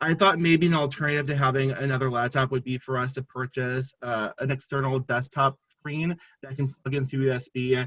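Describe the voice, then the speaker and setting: The man's tone is bright and sharp. He talks at a fairly quick pace. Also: dry, close sound with no echo. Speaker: annual giving staff member running a student calling program. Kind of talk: panel discussion on a video call. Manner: fast.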